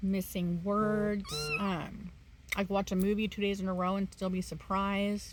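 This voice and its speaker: At a moderate pace, a woman speaks in a somewhat breathy voice at a medium pitch with monotone, flat intonation. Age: 40s. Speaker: vlogger with early onset Alzheimer's. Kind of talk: casual vlog. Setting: bedroom, home video. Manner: halting, many fillers.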